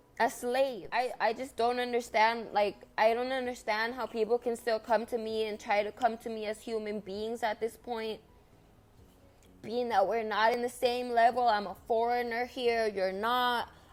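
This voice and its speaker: In a Spanish accent, a woman speaks at a moderate pace. Her pitch is fairly high and her intonation monotone and flat. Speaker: vlogger. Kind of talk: monologue vlog. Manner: halting, with restarts.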